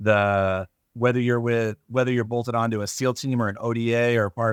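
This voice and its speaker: Monotone, flat intonation in a dry, close sound with no echo, on a very clean recording with a silent background. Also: man. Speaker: EOD technician. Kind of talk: casual chat.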